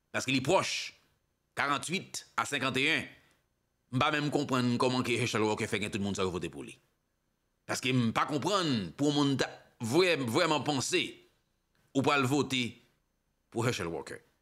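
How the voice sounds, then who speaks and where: A man's bright, sharp voice at a medium pitch, with lively intonation, vocal fry, a fairly slow pace and long, frequent pauses against a quiet background. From Haiti. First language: Haitian Creole (speaking French). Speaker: political commentator / online show host; news commentator. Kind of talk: political commentary monologue. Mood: critical, impassioned. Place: studio. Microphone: studio mic.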